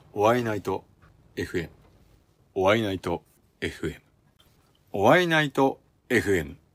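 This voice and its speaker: A man's fairly low voice at a fairly slow pace, with very wide pitch swings, long, frequent pauses, and a dry, close sound free of echo. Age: 50s. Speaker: custom motorcycle builder and apparel maker. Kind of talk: casual interview. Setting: home garage workshop.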